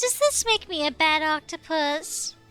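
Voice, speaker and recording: A put-on character voice that sounds female, with faint music in the background. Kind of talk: theatrical villain. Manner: devious, smiling, gloating.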